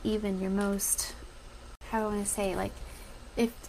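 There is noticeable background noise as a woman speaks. She has an American accent and keeps a moderate pace. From Colorado. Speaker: dietitian and podcast host. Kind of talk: casual Facebook live talk.

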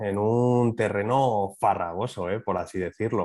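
A man uses a plain, everyday voice at a fairly slow pace. His intonation is fairly even against a quiet background. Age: 30s. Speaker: training academy manager and media trader. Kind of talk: podcast interview.

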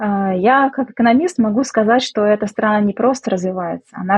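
This woman talks at a fairly quick pace. Her voice is somewhat breathy. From Russia, Samara. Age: 30s. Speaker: economist and businesswoman, emigrant. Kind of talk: interview.

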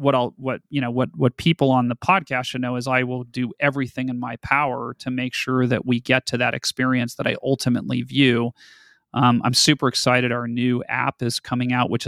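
A man speaks with a General American accent at a fairly quick pace, his pitch medium and his intonation flat and monotone. The recording is very clean with a silent background and a dry, close sound with no echo. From Colorado. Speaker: media company CEO. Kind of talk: interview. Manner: hesitant fillers.

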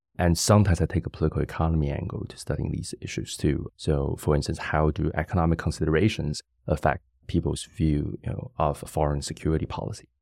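A man with a very deep, low pitch talks at a very fast pace. His voice has vocal fry and ordinary pitch variation. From Taiwan (Yilan). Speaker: political science researcher. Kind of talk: interview conversation. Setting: studio.

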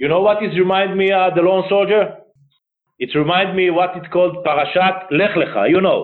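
Fairly quick speech with an Israeli accent. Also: man. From northern Israel, Akko. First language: Hebrew. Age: 50s. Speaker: retired army general, charity director. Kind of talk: interview.

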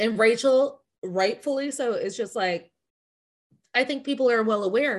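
The woman's voice is fairly high, with an animated tone and lively intonation. She talks at a fairly slow pace over a quiet background. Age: 30s. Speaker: podcast host. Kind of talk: casual chat.

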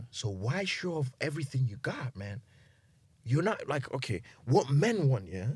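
A man speaks at a medium pitch with very wide pitch swings. His voice is somewhat breathy. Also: moderate pace. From Nigeria. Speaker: guest host giving advice. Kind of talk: casual chat. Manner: animated.

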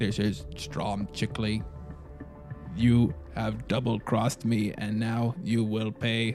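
Putting on a robotic character voice at a medium pitch, a man speaks at a fairly slow pace against clear music in the background. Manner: menacing.

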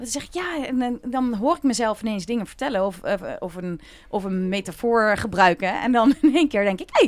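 Using an ordinary speaking voice, a woman talks with lively intonation. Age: 40s. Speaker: happiness coach. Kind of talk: casual chat.

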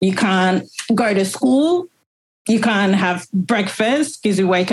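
A woman speaks at a fairly slow pace, sounding somewhat breathy. Her pitch is medium, with ordinary variation. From Liberia, Monrovia. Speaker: registered nurse and refugee. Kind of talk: personal testimony interview.

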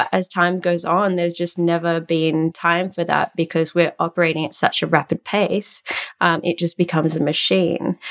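At a moderate pace, the voice carries an Australian accent in a monotone, flat intonation. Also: woman, fairly low pitch for a woman, dry, close sound with no echo. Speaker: fashion tech CEO and designer. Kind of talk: interview.

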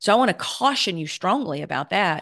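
A woman speaks in an animated tone at a moderate pace. The background is quiet. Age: 50s. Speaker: podcast host. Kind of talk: solo podcast monologue.

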